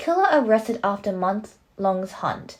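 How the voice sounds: The voice is a natural reading voice.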